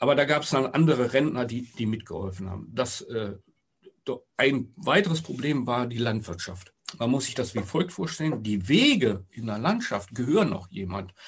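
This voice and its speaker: A somewhat breathy man's voice of medium pitch with lively intonation. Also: moderate pace. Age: 60s. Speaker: retiree and local project initiator. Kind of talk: casual interview. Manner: halting, with fillers.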